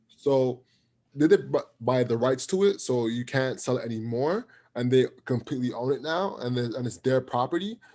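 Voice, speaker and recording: Very clean and silent in the background, the recording captures a man at a moderate pace. His medium-pitched voice has a dark, mellow tone. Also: ordinary pitch variation. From Jamaica. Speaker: podcast host. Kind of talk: podcast interview.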